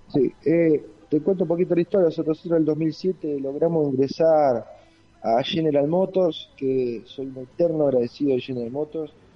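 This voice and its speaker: Over music in the background, a man with a fairly high voice speaks at a moderate pace with ordinary pitch variation. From Argentina, rural Santa Fe province. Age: 40s. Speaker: engineering company executive. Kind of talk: radio interview.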